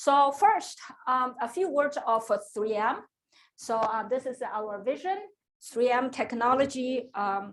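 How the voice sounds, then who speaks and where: This woman's voice is high in pitch. She talks at a fairly slow pace. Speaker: industry engineer and scientist. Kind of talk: invited seminar talk. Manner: soft-spoken; hesitant with many fillers.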